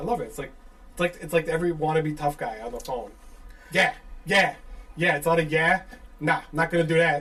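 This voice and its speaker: Speaking at a fairly quick pace with a strong Chicago accent, a man with a high pitch and ordinary pitch variation makes long, frequent pauses and big swings in loudness amid noticeable background noise. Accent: thick Chicago. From Chicago suburbs. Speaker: podcast host. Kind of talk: casual chat.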